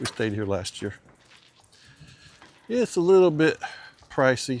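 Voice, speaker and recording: A man with an Alabama accent at a moderate pace, over noticeable background noise. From US South, Alabama. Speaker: motorcycle mechanic and vlogger. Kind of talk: casual chat. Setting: outdoors.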